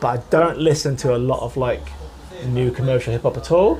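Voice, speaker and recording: A fairly quick man in an English Midlands accent, with noticeable background noise. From East Midlands, England (Nottingham). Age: 40s. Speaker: author. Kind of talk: interview chat.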